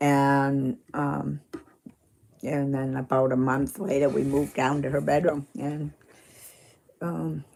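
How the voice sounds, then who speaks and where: This woman speaks very slowly in a Maine accent, her pitch very deep and low, with ordinary pitch variation. Long pauses come often between her words. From Maine, US. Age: 60s. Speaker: retired runner and live streamer. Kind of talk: casual live-stream chat. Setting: live stream reading chat. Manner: halting, many fillers.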